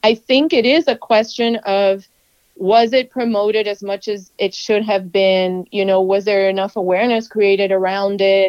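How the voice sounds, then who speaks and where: A woman with an American accent has a plain, everyday voice at a medium pitch. She keeps a moderate pace and fairly even intonation, and the sound is dry and close with no echo. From US, Cuban American. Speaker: TV reporter. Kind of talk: interview. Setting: phone call.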